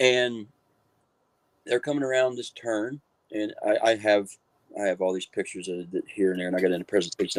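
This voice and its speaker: In a dry, close sound with no echo, a man with an Appalachian accent talks at a very fast pace yet with long, frequent pauses, his fairly low voice showing ordinary pitch variation. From West Virginia, Marion County. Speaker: author and paranormal researcher. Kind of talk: interview storytelling.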